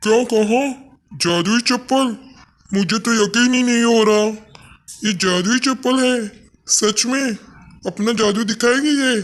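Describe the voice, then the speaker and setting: A man does a cartoonish character voice at an extremely high pitch, with very even loudness and a moderate pace. Long, frequent pauses break up his speech. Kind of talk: children's cartoon story.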